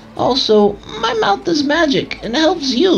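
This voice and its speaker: A female-sounding voice performs a put-on character voice at a fairly slow pace. Clear background noise is present. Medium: read story.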